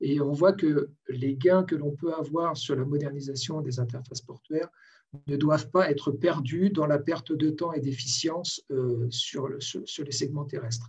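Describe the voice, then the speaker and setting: Speaking at a fairly slow pace, a man sounds somewhat breathy, with fairly even intonation. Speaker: port and logistics expert, webinar panelist. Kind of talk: webinar panel presentation. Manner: halting, many hesitations.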